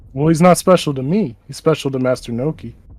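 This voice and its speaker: A put-on character voice at a very fast pace. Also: man, fairly high pitch for a man. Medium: actual play. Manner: blunt, threatening.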